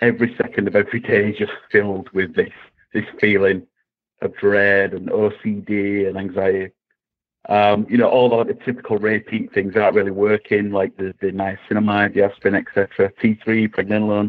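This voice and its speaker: A man with an English accent at a moderate pace, his intonation flat and monotone. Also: fairly low pitch for a man. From England. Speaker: caller. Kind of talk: call-in question.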